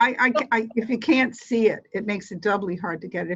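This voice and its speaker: A woman talks at a very fast pace in a somewhat breathy voice with ordinary pitch variation. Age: 60s. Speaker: volunteer ESL tutor trainee. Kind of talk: casual chat. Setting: video call. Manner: halting.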